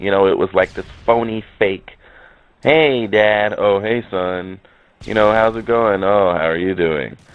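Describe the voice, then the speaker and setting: The speaker's pitch varies in an ordinary way. The pace is fairly slow. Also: man, fairly low pitch for a man. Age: 30s. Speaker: gaming commentator. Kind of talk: personal video commentary. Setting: in a car. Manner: halting. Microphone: poor audio.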